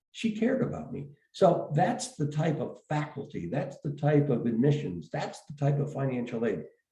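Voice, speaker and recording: In a room with audible echo, a man with a medium pitch and a dark, mellow tone uses very wide pitch swings and vocal fry. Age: 70s. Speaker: education executive. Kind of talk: interview. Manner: halting, many fillers and repeats.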